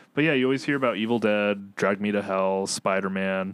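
This man has a plain, everyday voice, pitched fairly low. He moves at a moderate pace with ordinary pitch variation. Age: 20s. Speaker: film podcast co-host. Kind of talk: casual chat.

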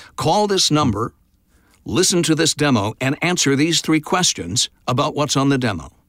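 With an American accent and vocal fry, a man speaks at a fairly high pitch and a moderate pace, using lively intonation and very even loudness. The very clean recording is dry and close, with no echo and a silent background. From Oklahoma, US. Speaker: voice actor. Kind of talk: interview.

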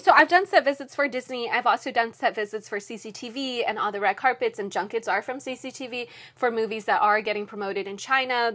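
A woman's animated, bright, sharp voice at fairly high pitch, fairly quick with hardly any pauses and big swings in loudness, on a very clean recording with a silent background. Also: ordinary pitch variation. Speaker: entertainment news reporter and TV host. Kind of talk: casual chat. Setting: podcast interview. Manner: animated, laughs often.

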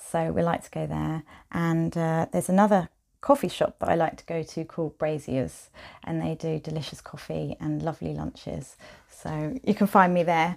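Speaking in a southern English accent, a woman's voice shows big swings in loudness. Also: moderate pace, very clean recording, silent background. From Kent, southeast England. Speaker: quilt designer. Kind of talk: interview. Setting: her studio, in person.

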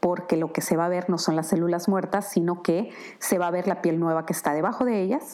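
There is noticeable background noise. A woman speaks at a moderate pace and a medium pitch. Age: 50s. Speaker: skincare brand founder. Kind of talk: product presentation monologue.

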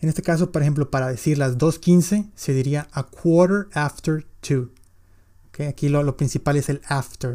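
At a fairly slow pace, a man with a fairly high pitch and a dark, mellow tone shows ordinary pitch variation. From Mexico, Monterrey. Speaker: English teacher, podcaster. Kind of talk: tutorial.

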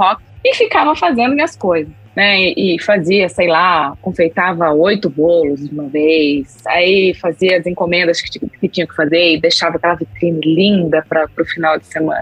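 Against noticeable background noise, a woman talks with ordinary pitch variation. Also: hardly any pauses. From Brazil, interior of São Paulo state. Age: 40s. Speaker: customer experience professional. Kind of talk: interview.

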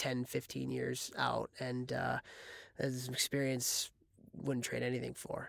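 A man with an American accent speaks at a very slow pace, his loudness very even throughout. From US Midwest, Chicago. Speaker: former college hockey player and coach. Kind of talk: casual interview.

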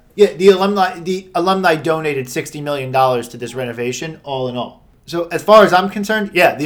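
A man's fairly high voice at a very fast pace, with hardly any pauses, ordinary pitch variation and big swings in loudness. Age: 30s. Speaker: sports podcast co-host. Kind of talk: casual chat.

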